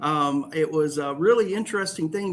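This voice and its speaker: Lively intonation marks an ordinary speaking voice with an American accent at a moderate pace. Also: man. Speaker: university president. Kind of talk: online lecture. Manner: casual, with filler words.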